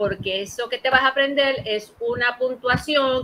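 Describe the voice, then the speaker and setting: At a fairly slow pace, a woman speaks with a high pitch, a bright, sharp tone and ordinary pitch variation. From Puerto Rico, Ponce. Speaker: librarian. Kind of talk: interview. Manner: halting, many repetitions.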